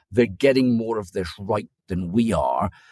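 At a fairly slow pace, a man speaks in an Aberdeen accent with ordinary pitch variation, the sound dry and close with no echo. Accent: Scottish (Aberdeen). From Aberdeen, Scotland. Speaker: lobbying firm founder. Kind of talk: casual chat.

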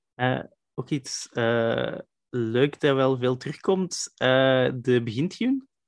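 A man with a Flemish accent speaks very slowly at a medium pitch with ordinary pitch variation. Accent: Flemish Dutch. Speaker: podcast host. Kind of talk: interview.

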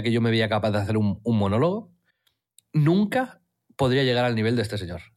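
At a fairly quick pace, a man talks with medium pitch and lively intonation. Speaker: podcast co-host. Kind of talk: casual chat.

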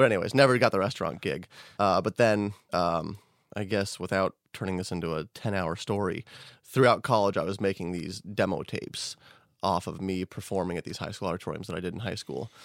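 Fairly low-pitched and with an American accent, a man talks at a fairly quick pace in a plain, everyday voice with ordinary pitch variation, the sound dry and close with no echo. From Colorado, US. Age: 30s. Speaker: magician. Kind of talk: casual chat. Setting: studio.

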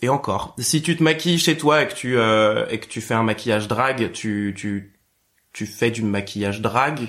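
A man at medium pitch with a normal speaking voice, ordinary pitch variation and a fairly slow pace, on a very clean recording with a silent background. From Picardie, France. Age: 20s. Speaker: drag performer. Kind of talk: casual chat.

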